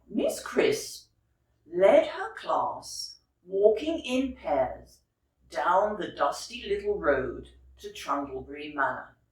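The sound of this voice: A woman's fairly low voice at a slow pace, with big pitch swings and audible room echo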